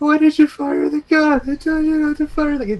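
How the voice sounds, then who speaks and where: Someone uses a put-on character voice pitched high. The pace is moderate. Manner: wimpy.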